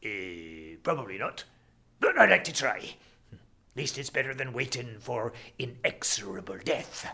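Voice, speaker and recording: A put-on character voice, croaky in texture. It moves along at a moderate pace. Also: man, medium pitch for a man. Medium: read story. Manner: understated.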